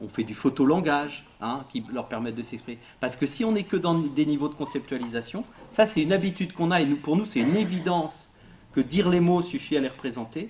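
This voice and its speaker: A man talks at a fairly quick pace with a fairly high pitch. His voice is somewhat breathy. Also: lively intonation. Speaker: psychosociologist giving a talk. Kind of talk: interactive lecture. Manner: fast; casual, halting with fillers.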